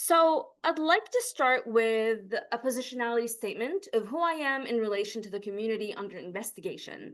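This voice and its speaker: In an Arabic accent, a woman talks at a fairly quick pace with hardly any pauses, her fairly high voice carrying lively intonation. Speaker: PhD researcher presenting. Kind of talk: academic lecture.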